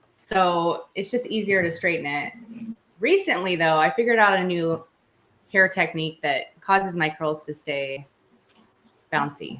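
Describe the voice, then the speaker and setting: Her tone is bright and sharp, with a fairly low pitch and ordinary pitch variation. The woman speaks at a moderate pace with long, frequent pauses. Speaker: true crime youtuber. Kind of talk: casual chat. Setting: livestream from home bathroom. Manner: slight stutter when nervous.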